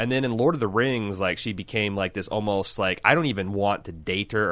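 A man's fairly low voice, bright and sharp in tone, at a moderate pace with ordinary pitch variation against a quiet background. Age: 40s. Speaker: podcast host. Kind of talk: casual chat. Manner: halting, frequent false starts.

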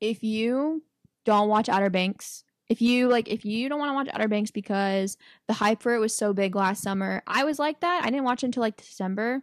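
A normal speaking voice moves at a fairly quick pace. The recording is very clean with a silent background and a dry, close sound with no echo. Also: woman, fairly high pitch for a woman, ordinary pitch variation. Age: 20s. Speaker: podcast co-host. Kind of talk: casual chat.

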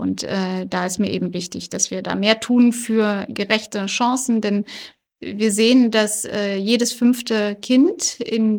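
A woman with a fairly high pitch uses an ordinary speaking voice. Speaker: politician. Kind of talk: interview. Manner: many filler sounds (äh, ähm).

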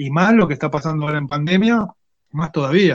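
A man with an Argentine accent and a fairly high pitch speaks at a moderate pace. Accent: Rioplatense Argentine Spanish. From Argentina, Quilmes (Greater Buenos Aires). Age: 30s. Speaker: technical school teacher and woodworker. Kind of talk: casual interview chat.

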